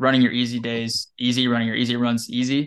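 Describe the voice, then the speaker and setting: A man with an American accent has an unremarkable speaking voice. He talks at a fairly quick pace in a medium pitch. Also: quiet background. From Wyoming, US. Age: 20s. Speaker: running coach. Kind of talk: podcast interview.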